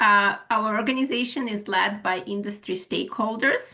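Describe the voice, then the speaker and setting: This woman has a bright, sharp tone at a medium pitch. She keeps a moderate pace and fairly even intonation. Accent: Ukrainian. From Ukraine. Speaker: HR manager and webinar presenter. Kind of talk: webinar presentation. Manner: halting, many fillers.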